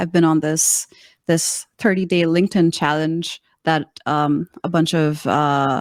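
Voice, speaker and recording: Very slow, monotone, flat delivery in an American accent, on a very clean recording with a silent background. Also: woman, dry, close sound with no echo. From Pakistan, Karachi. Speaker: communications coach. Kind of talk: interview.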